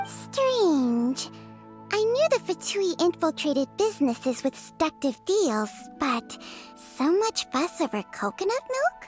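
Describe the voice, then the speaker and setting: With clear music in the background, a cartoonish character voice speaks at a fairly slow pace. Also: female-sounding voice, high pitch for a woman. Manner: haughty, sardonic.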